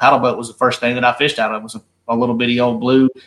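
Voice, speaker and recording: A man speaks in a Southern US accent. His pace is very fast. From North Carolina. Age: 30s. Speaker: professional bass angler. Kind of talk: casual interview.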